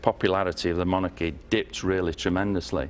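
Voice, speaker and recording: A man speaks with a northern English accent. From northern England. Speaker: former member of parliament; guest. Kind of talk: TV interview. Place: studio.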